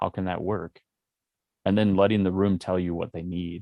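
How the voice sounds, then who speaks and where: The man's pitch is very deep and low. He keeps a moderate pace in a monotone, flat intonation. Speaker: music producer and speaker. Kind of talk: casual podcast conversation.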